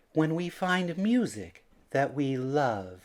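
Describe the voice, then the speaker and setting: A man puts on a character voice with a fairly high pitch. He goes at a very slow pace with very wide pitch swings. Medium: read story.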